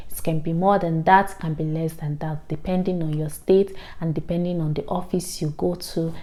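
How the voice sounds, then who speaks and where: In a Nigerian accent, a woman speaks at a fairly low pitch and a moderate pace. Her tone is dark and mellow, her intonation monotone and flat. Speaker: vlogger, international student. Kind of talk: informational vlog.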